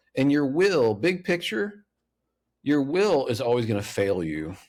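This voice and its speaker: A man's voice with very wide pitch swings on a very clean recording with a silent background. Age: 50s. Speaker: author and speaker. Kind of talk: podcast interview. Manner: lawyerly tone.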